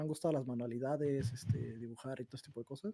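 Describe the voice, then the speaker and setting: Somewhat breathy and dark, mellow in tone, the voice moves at a very fast pace. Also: man. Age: 20s. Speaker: game developer. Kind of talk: casual chat.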